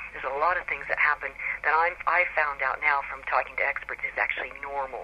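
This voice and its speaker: Over noticeable background noise, a woman with a very deep, low pitch talks at a very fast pace with monotone, flat intonation. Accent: American. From US Pacific Northwest, Seattle. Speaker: author. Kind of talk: radio interview.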